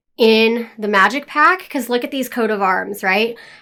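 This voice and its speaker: A woman's fairly high, bright, sharp voice with lively intonation at a moderate pace. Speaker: gaming YouTuber. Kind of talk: casual voiceover commentary. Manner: casual, chatty.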